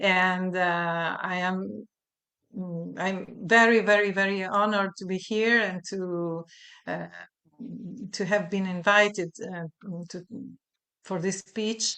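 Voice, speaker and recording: In an Italian accent, a woman with a bright, sharp tone and medium pitch speaks very slowly in a flat monotone, with long, frequent pauses and big swings in loudness. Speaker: voice teacher and researcher. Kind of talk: research presentation. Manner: halting.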